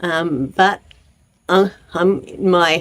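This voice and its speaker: Her voice sits at a fairly low pitch. The woman's pitch moves with ordinary variation. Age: 70s. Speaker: channel host on aging women. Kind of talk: casual vlog monologue.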